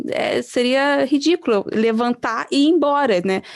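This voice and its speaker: A woman with a Brazilian accent, high-pitched and fairly slow. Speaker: pastoral trainer. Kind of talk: online training presentation.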